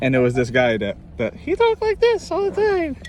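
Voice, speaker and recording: A man keeps a fairly quick pace, with noticeable background noise around his voice. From New York. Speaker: music teacher. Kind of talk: tutorial; casual chat. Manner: informal.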